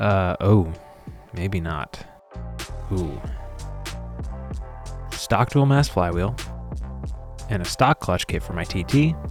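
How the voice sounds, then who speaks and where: Music can be heard underneath. Over it, a man talks very slowly. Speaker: motorcycle mechanic. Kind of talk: casual talk to camera.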